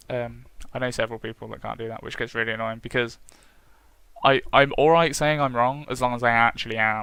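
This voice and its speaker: A man with a British accent talks at a fairly quick pace, his medium-pitched voice bright and sharp in tone. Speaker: gaming vlogger. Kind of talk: casual vlog monologue.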